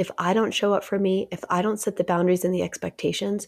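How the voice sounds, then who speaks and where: Speaking at a fairly quick pace, a woman uses a fairly low voice. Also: very clean recording, silent background. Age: 30s. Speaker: therapist and podcast host. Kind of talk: personal storytelling monologue. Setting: recording from a cozy chair at home.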